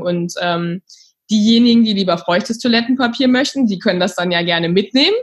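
Her voice somewhat breathy, a woman talks at a medium pitch with ordinary pitch variation. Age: 30s. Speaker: startup founder. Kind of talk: interview.

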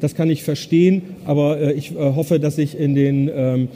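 Fairly even intonation from a man pitched fairly high, moving at a moderate tempo amid noticeable background noise. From northern Germany, Bremen. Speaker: business consultant. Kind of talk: conference talk. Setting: stage with audience.

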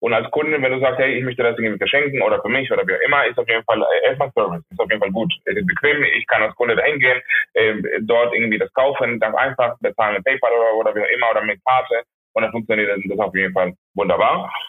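Very fast speech in a Spanish accent, with music in the background. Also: man. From Venezuela, Maracaibo. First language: Spanish (speaking German). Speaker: restaurant owner. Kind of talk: phone interview. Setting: phone call. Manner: halting.

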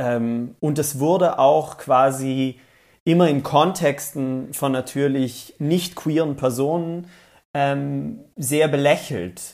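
A fairly high-pitched man speaking at a very slow pace. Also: ordinary pitch variation. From South Tyrol, Italy. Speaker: TV presenter. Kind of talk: interview. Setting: video call.

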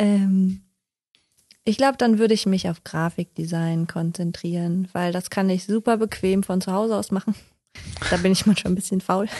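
Somewhat breathy, dark, mellow voice of a woman at medium pitch, with fairly even intonation, a moderate pace, and long, frequent pauses. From western Germany, Odenthal near Cologne. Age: 30s. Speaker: freelance communication designer. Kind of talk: casual interview chat.

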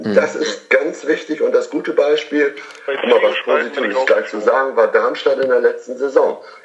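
A man's speech moves at a moderate pace against noticeable background noise. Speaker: TV field reporter. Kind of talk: casual chat.

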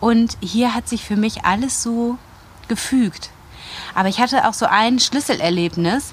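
With long, frequent pauses and noticeable background noise, a woman speaks fairly slowly at a fairly high pitch. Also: ordinary pitch variation. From Germany, Wuppertal (North Rhine-Westphalia). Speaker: journalist and podcaster. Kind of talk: interview, casual chat.

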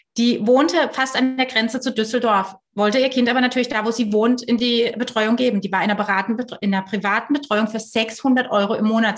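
Here is a normal speaking voice from a woman at a moderate pace. Her pitch sits fairly high. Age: 30s. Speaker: founder of a working-mothers initiative. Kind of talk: casual interview.

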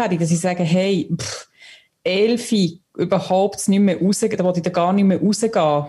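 This voice has a dark, mellow tone and sounds somewhat breathy. Its pitch varies in an ordinary way at a moderate pace. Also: woman. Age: young. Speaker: listener contributor. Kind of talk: casual chat.

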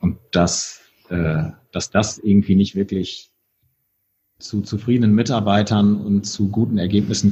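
A man talks at a fairly slow pace in a fairly low pitch, his tone dark, mellow and somewhat breathy. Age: 40s. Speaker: hotelier and entrepreneur. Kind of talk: interview conversation. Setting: in a brewery.

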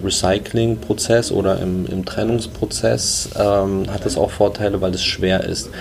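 A man speaks with a fairly low pitch and ordinary pitch variation. Noticeable background noise can be heard. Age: 20s. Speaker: startup co-founder. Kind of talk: interview.

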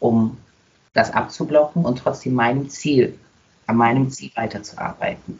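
With a plain, everyday voice, a man speaks at a medium pitch with ordinary pitch variation. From Germany, Nuremberg. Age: 20s. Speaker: dancer and dance school owner. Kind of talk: casual interview.

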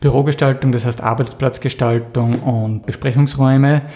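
A man with a somewhat breathy voice speaks with fairly even intonation. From Austria, Styria (Mürztal). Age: 40s. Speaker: graphic designer, business owner. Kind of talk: interview.

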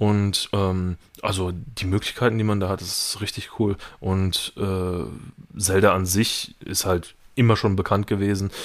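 Fairly low in pitch, a man's voice runs in monotone, flat intonation. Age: 20s. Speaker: gamer, host's brother. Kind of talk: casual chat.

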